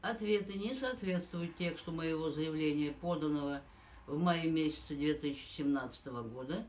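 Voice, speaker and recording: Audible room echo surrounds a woman speaking. Her pitch is very deep and low, and her pace is moderate. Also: lively intonation. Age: 70s. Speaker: pensioner making a public appeal. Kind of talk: formal appeal, reading a complaint. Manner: formal.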